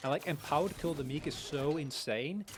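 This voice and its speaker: A man's fairly high voice moves along at a moderate speed. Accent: Dutch. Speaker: esports caster. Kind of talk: live commentary. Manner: animated.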